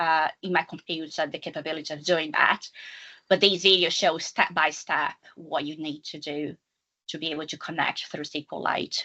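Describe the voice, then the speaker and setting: At a moderate pace, a woman with a non-native accent speaks at a fairly low pitch with fairly even intonation. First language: not English. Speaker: data analytics consultant. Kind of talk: technical presentation. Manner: halting, with fillers.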